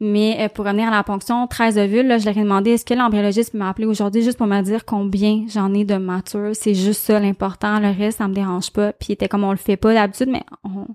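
A woman speaks very fast with hardly any pauses and monotone, flat intonation, in a very clean, dry, close recording with no echo and a silent background. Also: medium pitch for a woman. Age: 30s. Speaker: guest sharing infertility experience. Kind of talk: testimony.

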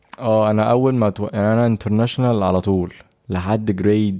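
Speaking with an Egyptian accent, a man uses a fairly low pitch, a dark, mellow tone and fairly even intonation at a moderate pace against a quiet background. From Egypt, raised in Saudi Arabia. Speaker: entrepreneur. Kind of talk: casual chat.

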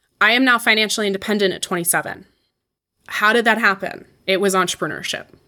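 A woman with a bright, sharp tone and medium pitch speaks at a very fast pace with fairly even intonation, on a very clean recording with a silent background. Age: 20s. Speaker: personal finance entrepreneur. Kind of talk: interview.

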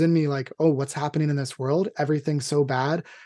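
Against a quiet background, a man with a fairly high pitch and a dark, mellow tone talks at a fairly quick pace. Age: 30s. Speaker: podcast host. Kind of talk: casual interview.

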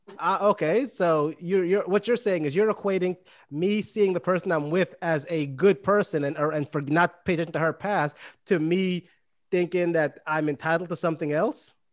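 A high-pitched male voice with a New York accent, against a quiet background. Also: ordinary pitch variation, moderate pace. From Brooklyn, New York, West Indian family. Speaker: podcast co-host. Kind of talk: casual chat.

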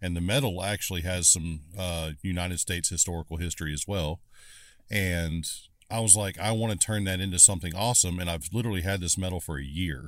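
The recording is very clean, with a silent background. A man with a very deep, low pitch talks very fast. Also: ordinary pitch variation. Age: 40s. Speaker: knife maker. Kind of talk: casual chat. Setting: in a car.

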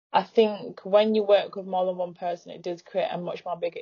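A woman speaks with a northern English accent. Her intonation stays fairly even. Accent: northern English, noticeable. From northern England. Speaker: footwear brand founder. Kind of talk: casual interview chat. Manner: shy about speaking, but confident.

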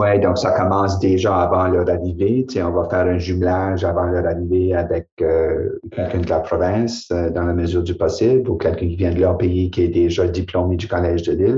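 A very deep, low male voice, somewhat breathy, fairly quick with hardly any pauses and fairly even intonation. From New Brunswick, Acadia. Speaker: college president. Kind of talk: casual chat.

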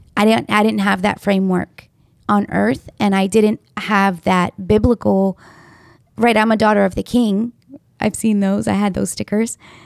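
Recorded with a dry, close sound and no echo, a woman uses an ordinary speaking voice at medium pitch, keeping very even loudness, fairly even intonation and a moderate pace. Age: 40s. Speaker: podcast host. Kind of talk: casual chat.

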